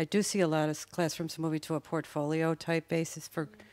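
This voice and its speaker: A woman with a Chicago accent speaks in a very deep, low voice with monotone, flat intonation. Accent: Chicago American. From US Midwest, Chicago. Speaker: public school teacher. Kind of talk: panel discussion. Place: stage. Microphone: handheld.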